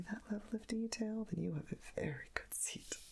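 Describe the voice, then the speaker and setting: A soft-spoken woman talks in a soothing tone over noticeable background noise. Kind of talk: ASMR soft-spoken magazine page turning. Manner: soft-spoken, soothing.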